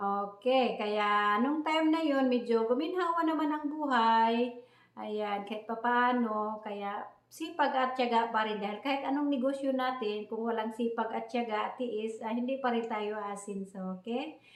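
A woman with a fairly high voice talks at a fairly slow pace with ordinary pitch variation, amid audible room echo and noticeable background noise. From Philippines, Visayas province. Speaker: vlogger. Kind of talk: personal storytelling vlog. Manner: halting, many fillers.

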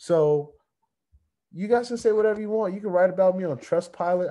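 A man with a high pitch and a dark, mellow tone speaks at a fairly quick pace with ordinary pitch variation. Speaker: crypto YouTuber. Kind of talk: casual vlog rant. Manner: fired-up, emphatic. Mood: irritated, defiant. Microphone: webcam.

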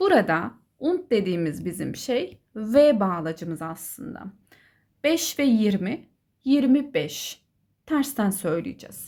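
Very slowly, a woman speaks in a dark, mellow tone, fairly high-pitched, her pitch swinging very widely. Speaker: German teacher. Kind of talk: tutorial. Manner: instructive, clear.

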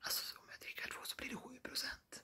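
Speaking in a whisper, a man is heard. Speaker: vlogger. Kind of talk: ASMR talk to camera. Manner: whispered. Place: home room. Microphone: phone near.

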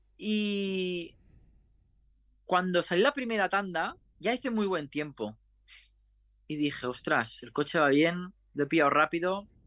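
A man's high, bright and sharp voice at a fairly slow pace, with lively intonation, long frequent pauses and a quiet background. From Spain, Catalonia. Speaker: racing driver; guest. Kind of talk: interview; interview answer. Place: home room. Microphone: video call.

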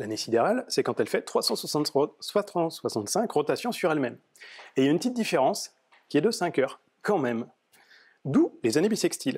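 A man's high-pitched, very fast speech with very wide pitch swings and long, frequent pauses, over a quiet background. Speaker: software developer giving a meetup talk; conference speaker. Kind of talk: tech talk. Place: meeting room.

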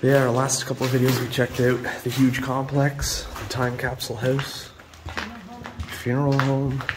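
A man's voice over noticeable background noise. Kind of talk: casual vlog chat. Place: classroom. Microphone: phone near.

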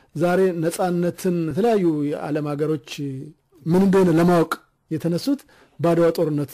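Fairly high for a man, this voice has a dark, mellow tone. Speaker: radio host. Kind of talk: radio interview. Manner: formal.

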